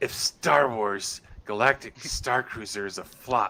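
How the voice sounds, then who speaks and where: A man in a put-on character voice, medium-pitched, at a fairly slow pace. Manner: mocking, exaggerated.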